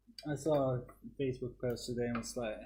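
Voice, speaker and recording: A man speaks with a Dutch accent. His pace is fairly slow. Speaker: 3D printing YouTuber. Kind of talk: casual chat.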